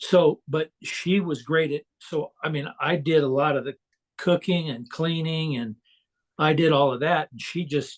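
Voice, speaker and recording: Over a dry, close sound with no echo, a man talks at a fairly slow pace. His pitch is fairly high and his intonation fairly even. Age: 60s. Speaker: coaching client. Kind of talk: casual chat. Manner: halting.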